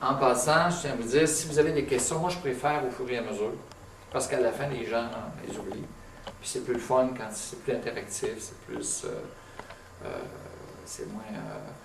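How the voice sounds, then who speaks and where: A man with a Quebec accent talks at a moderate pace with ordinary pitch variation, big swings in loudness and long, frequent pauses. Audible room echo and noticeable background noise fill the recording. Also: medium pitch for a man. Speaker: tinnitus clinician giving a talk. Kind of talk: lecture. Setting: meeting room with live audience. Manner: conversational, many hesitations; speaking louder to be heard.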